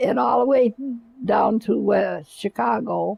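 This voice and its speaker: A woman speaks with an Upper Midwest accent. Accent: Upper Midwest American. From Michigan, US. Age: 80s+. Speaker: great-grandmother telling her life story. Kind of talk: life story interview. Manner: halting.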